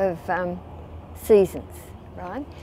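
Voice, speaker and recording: With an Australian accent, a woman speaks at a fairly slow pace in a dark, mellow tone with fairly even intonation. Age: 80s+. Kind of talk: interview answer. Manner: conversational, hesitant.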